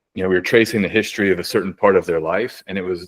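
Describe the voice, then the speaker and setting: The man's voice comes through dry and close, with no echo. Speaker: astrologer. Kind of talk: panel discussion. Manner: fast.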